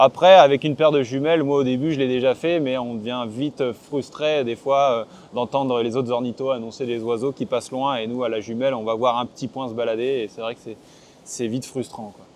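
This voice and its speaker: A man at a moderate pace and medium pitch, with ordinary pitch variation. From northern France, Côte d'Opale. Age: 20s. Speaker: ornithologist. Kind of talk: interview. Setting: outdoors on coastal cliffs. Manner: halting, many fillers and repetitions.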